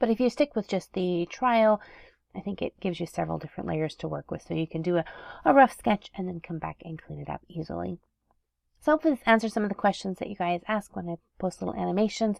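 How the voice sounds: At a fast pace, a woman speaks with fairly low pitch, vocal fry, ordinary pitch variation and a slightly mellow tone, in a dry, close sound with no echo.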